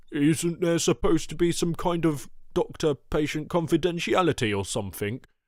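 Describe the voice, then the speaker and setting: In a put-on character voice, a man speaks at a fairly high pitch and moderate pace on a very clean recording with a silent background. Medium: audio drama. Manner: blustering, swaggering tough guy.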